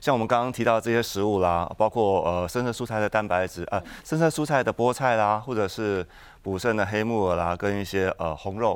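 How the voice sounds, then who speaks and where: Talking at a fairly quick pace with hardly any pauses, a man uses a normal speaking voice, fairly low in pitch, with ordinary pitch variation. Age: 40s. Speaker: traditional Chinese medicine doctor. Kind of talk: tutorial.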